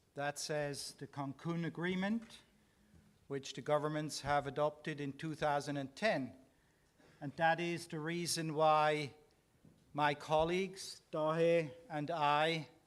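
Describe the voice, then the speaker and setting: Slowly, with long, frequent pauses, a man speaks at a fairly high pitch with fairly even intonation. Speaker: climate scientist, working group co-chair. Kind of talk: press conference presentation. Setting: press conference. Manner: slower than normal.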